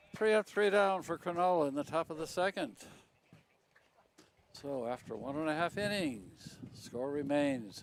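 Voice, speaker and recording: Noticeable background noise runs under the speech. A man talks with an American accent. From US Midwest, Chicago south side. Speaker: baseball commentator. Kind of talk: live commentary.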